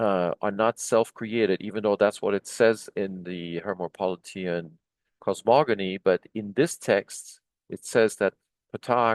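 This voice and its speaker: Over a quiet background, a man talks at a fairly slow pace and fairly low pitch, with a dry, close sound with no echo. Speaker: Egyptology video lecturer translating hieroglyphic texts. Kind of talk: lecture. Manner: slow, deliberate; halting, many fillers and restarts.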